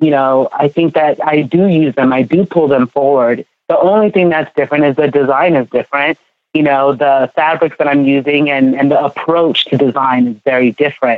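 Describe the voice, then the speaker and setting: The speaker has an American accent and talks at a moderate pace. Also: woman. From California. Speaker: fashion designer. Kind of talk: interview.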